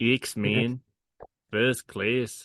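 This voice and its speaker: In a put-on character voice with a New Zealand accent, a man speaks raspily at a medium pitch with monotone, flat intonation, recorded dry and close with no echo. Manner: deliberately bad accent attempt.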